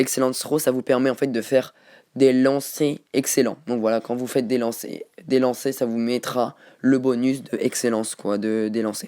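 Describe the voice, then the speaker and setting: This man has a medium-pitched voice and a moderate pace. He speaks in a monotone, flat intonation. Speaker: gaming youtuber. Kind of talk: tutorial. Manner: halting.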